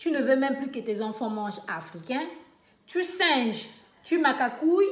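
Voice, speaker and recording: Amid noticeable background noise and audible room echo, a woman speaks fairly slowly in a high pitch with very wide pitch swings. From Republic of the Congo (Brazzaville). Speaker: vlogger. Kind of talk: casual monologue rant. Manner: animated, mocking imitations; many hesitations (euh).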